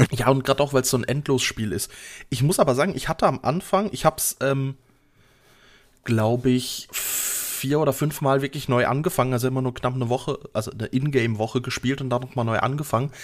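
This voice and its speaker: A very fast man's voice at medium pitch with ordinary pitch variation. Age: 30s. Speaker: podcast co-host, IT support worker. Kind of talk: casual chat. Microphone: new microphone, RØDE NT-USB.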